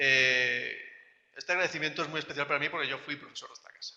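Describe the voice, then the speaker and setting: A man with a non-native accent. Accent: foreign (non-Colombian) Spanish. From outside Colombia. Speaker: academic researcher, panelist. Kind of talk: academic panel talk. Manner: halting, many fillers.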